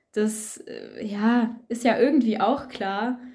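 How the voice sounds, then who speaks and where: Very slowly, a woman speaks in a fairly high pitch with a dark, mellow tone. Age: young. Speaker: first-year student. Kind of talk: casual chat.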